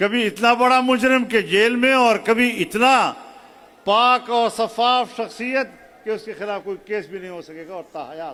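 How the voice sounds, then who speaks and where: A man speaks in a raised, projected voice with an extremely high pitch, ordinary pitch variation and big swings in loudness. Noticeable background noise is present. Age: 70s. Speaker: religious political speaker. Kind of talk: sermon-style political address.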